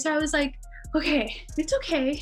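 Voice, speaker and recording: Music plays in the background. Over it, a woman speaks in a high voice. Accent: American. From Hawaii. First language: Armenian. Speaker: podcast guest. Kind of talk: casual interview.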